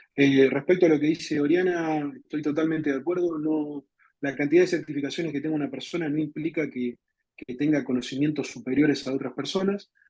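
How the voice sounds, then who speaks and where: This man has a dark, mellow tone and a fairly high pitch. He speaks at a fairly quick pace in an Argentine accent. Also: fairly even intonation. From Argentina. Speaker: software architect and community leader. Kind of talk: webinar presentation. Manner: repetitive, stumbling on words.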